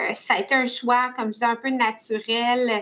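A woman with a Quebec accent speaks at a very slow pace and a high pitch. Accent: Québécois French. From Quebec, Laurentides. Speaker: family lawyer. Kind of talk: interview.

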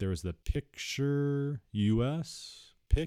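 A man's dark, mellow voice with lively intonation, in a dry, close sound with no echo and a very clean recording with a silent background. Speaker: vocabulary podcast host. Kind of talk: vocabulary lesson monologue. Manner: casual, conversational.

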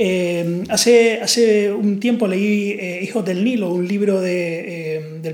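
A man with a high voice and a Canarian accent, fairly even intonation, audible room echo and noticeable background noise. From Canary Islands. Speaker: podcast host. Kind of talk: casual chat.

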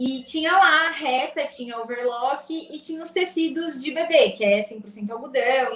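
With lively intonation, a woman speaks in a high voice. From Bragança Paulista, interior of São Paulo, Brazil. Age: 20s. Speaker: fashion entrepreneur. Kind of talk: casual interview chat.

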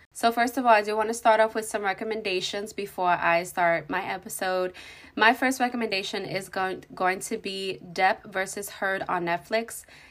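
A woman speaks in a normal speaking voice at a medium pitch and moderate pace, with fairly even intonation. The recording is very clean with a silent background. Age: 20s. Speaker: podcast host. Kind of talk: casual chat.

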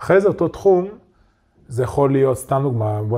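A man's dark, mellow tone comes out somewhat breathy. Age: 30s. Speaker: online entrepreneur, community owner. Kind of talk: casual interview chat. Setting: studio.

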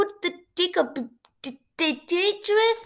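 Doing a put-on character voice, a woman speaks at a fairly slow pace with an extremely high, shaky pitch, on a very clean recording with a silent background. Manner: trembling, stammering.

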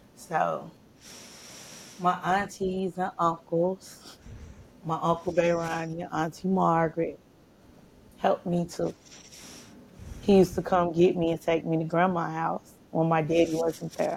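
The woman's intonation stays monotone and flat. She talks fairly slowly. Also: fairly low pitch for a woman. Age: 40s. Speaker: mother of the host, survivor's parent. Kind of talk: casual chat.

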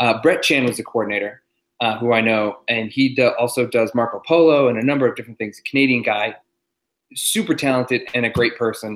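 A man with an ordinary speaking voice and an American accent talks fairly quickly at a medium pitch, his intonation fairly even. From Massachusetts. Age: 30s. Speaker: stuntman. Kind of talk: casual chat.

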